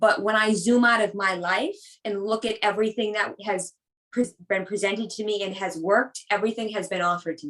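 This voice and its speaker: In a normal speaking voice, a woman with an American accent talks at a medium pitch. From Boston area, US. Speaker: personal trainer. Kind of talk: casual chat.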